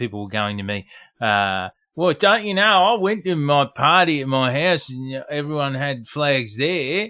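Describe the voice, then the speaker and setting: The speaker talks with an Australian accent, and the pitch swings very widely. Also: man. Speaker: podcast host. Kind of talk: casual chat. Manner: animated.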